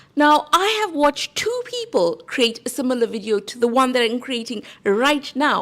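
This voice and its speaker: A high-pitched woman's voice with a South African accent and very wide pitch swings. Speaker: YouTube growth coach. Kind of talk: tutorial.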